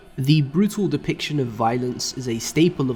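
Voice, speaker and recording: Against noticeable background noise, a man with a medium pitch speaks at a moderate pace with ordinary pitch variation. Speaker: anime and manga YouTuber. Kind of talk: scripted review narration.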